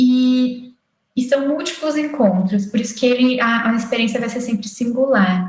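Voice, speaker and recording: With audible room echo, a high-pitched woman speaks at a fairly slow pace, her pitch varying in an ordinary way. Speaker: occupational therapy lecturer. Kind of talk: lecture. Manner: halting.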